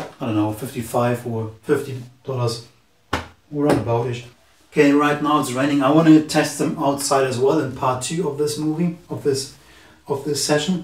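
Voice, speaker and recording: There is audible room echo around a man with a German accent. He has a fairly high pitch and ordinary pitch variation. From Germany. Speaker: tech reviewer youtuber. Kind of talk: product review tutorial. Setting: indoors, camera at two meters distance. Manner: halting, with fillers.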